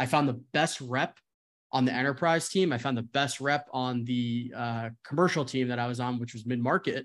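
A man with a plain, everyday voice speaks at a medium pitch and a moderate pace, his intonation fairly even. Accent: American. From New Jersey. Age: 20s. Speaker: sales executive. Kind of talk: casual chat.

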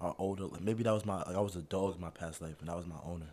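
Speaking very fast with an American accent, a man has a dark, mellow tone and fairly even intonation. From northern New Jersey. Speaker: former high school basketball player. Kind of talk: casual chat.

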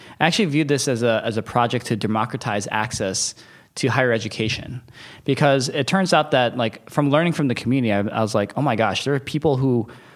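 An unremarkable speaking voice from a man, medium in pitch with ordinary pitch variation, at a fairly quick pace. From US Midwest, Detroit, Michigan. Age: 30s. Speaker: venture capitalist. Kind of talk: casual interview. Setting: office.

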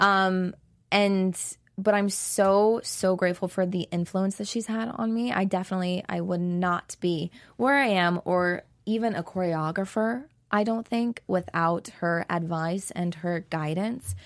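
A woman speaks at a fairly slow pace with a medium pitch and ordinary pitch variation in a plain, everyday voice, on a very clean recording with a silent background. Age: 20s. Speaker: professional dancer and choreographer. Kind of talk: interview. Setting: studio.

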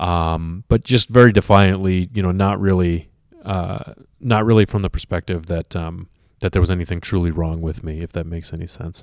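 At a moderate pace, a man with a very deep, low pitch speaks with fairly even intonation in a dry, close sound with no echo. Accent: American. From suburban US. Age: 30s. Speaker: recovering addict and musician. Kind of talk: personal testimony. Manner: halting, many fillers.

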